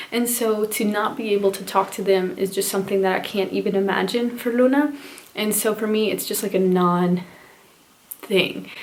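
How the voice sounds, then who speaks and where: A woman at a medium pitch and moderate pace, with fairly even intonation and noticeable background noise. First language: Spanish. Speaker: parenting vlogger. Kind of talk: casual vlog talk to camera.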